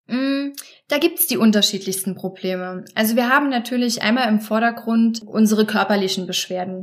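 A woman's voice is somewhat breathy and fairly high, with ordinary pitch variation. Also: moderate pace. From Germany, Trier. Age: 30s. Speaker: support group leader. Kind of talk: interview.

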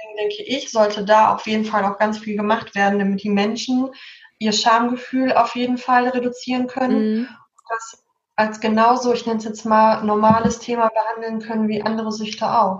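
Flat and monotone, the delivery holds a moderate pace. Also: woman, fairly high pitch for a woman. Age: 30s. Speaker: social worker. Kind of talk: casual chat.

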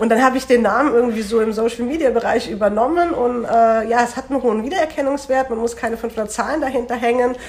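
This woman's fairly high voice is heard with noticeable background noise behind it. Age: 20s. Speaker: student teacher and charity volunteer. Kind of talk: casual interview.

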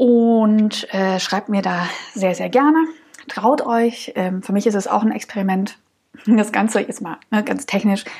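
This is a woman speaking. Her pitch is medium. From Saxony, Dresden region. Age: 30s. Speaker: podcast host, hiker. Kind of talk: solo podcast monologue. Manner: many filler sounds.

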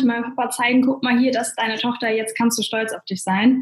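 A woman speaks very fast in a high voice over noticeable background noise. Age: 20s. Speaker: network marketer. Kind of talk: interview.

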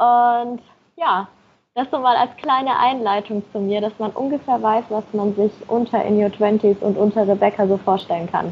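This is a woman with a normal speaking voice and a fairly high pitch. She keeps a moderate pace and fairly even intonation. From Germany, Nuremberg (Franconia). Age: 20s. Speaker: blogger and marketing manager. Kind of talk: podcast interview.

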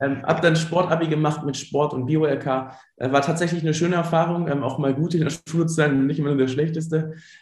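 Talking at a fairly quick pace with hardly any pauses, a man keeps a fairly high pitch and a monotone, flat intonation in a room with audible echo. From Germany, Ruhr area (Dorsten). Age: 30s. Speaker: entrepreneur, former primary school teacher. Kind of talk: interview. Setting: remote call.

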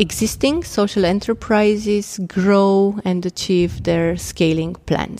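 Here a woman talks in a Romanian accent at a fairly slow pace. Her intonation is monotone and flat. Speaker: impact investment director. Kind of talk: interview.

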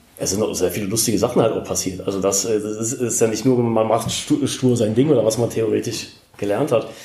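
Noticeable background noise and audible room echo surround the recording. A man speaks at a fairly quick pace and medium pitch with fairly even intonation. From Rhineland, near Cologne. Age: 40s. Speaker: special-needs care worker in training. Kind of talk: interview.

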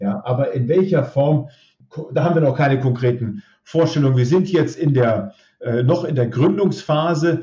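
There's a somewhat breathy quality to this man's voice. He talks at a moderate pace, and his pitch varies in an ordinary way. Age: 50s. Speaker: robotics startup founder. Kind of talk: interview. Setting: remote connection.

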